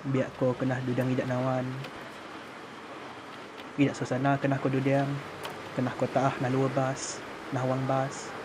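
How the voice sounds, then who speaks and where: A man's monotone, flat delivery, broken by long, frequent pauses, over noticeable background noise. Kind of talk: documentary commentary narration.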